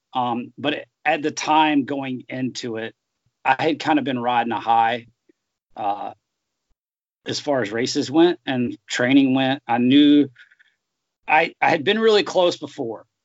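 Speaking with an American accent, a man has a fairly high voice with ordinary pitch variation. His pace is fairly slow, with long, frequent pauses. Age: 30s. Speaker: professional middle distance runner. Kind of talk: interview. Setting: video call.

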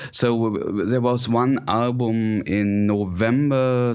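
A man is speaking. He has a German accent. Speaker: composer and synthesizer player. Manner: halting, hesitant, many filler words.

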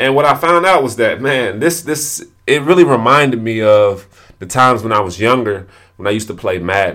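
Speaking at a moderate pace, a man with medium pitch uses lively intonation and a bright, sharp tone. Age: 20s. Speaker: podcast host and entrepreneur. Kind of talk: solo podcast monologue. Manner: repetitive, halting with frequent restarts.

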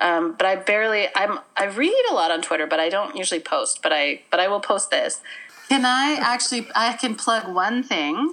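A woman with a Canadian Prairie accent, bright and sharp in tone, with very wide pitch swings, very even loudness and a moderate pace. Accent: Canadian English (Prairies). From Manitoba, Canada. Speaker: actor, playwright and comedian. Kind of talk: casual interview. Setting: remote call from home.

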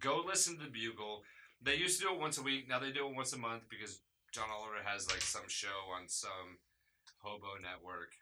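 A man with a medium-pitched voice talks at a fairly quick pace. His pitch swings very widely. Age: 30s. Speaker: podcast host. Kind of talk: casual chat.

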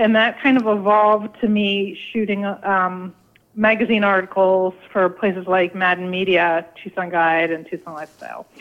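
This is an unremarkable speaking voice with an American accent. It moves at a fairly slow pace with ordinary pitch variation. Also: woman. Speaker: food photographer and author. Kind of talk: radio interview.

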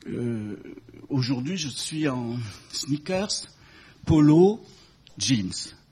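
A man speaks with a dark, mellow tone, lively intonation and a somewhat breathy quality. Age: 70s. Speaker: fashion industry consultant. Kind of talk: talk to an audience.

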